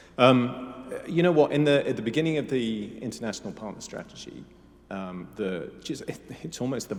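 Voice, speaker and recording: A man with a British accent, medium in pitch, at a moderate pace with lively intonation. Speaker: military officer. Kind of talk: panel interview.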